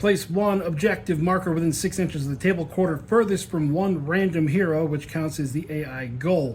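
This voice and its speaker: A man with an American accent and a fairly high pitch talks at a moderate pace with ordinary pitch variation and hardly any pauses, over noticeable background noise. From US South. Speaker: tabletop gaming youtuber. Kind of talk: tabletop game playthrough narration. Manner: casual, self-correcting.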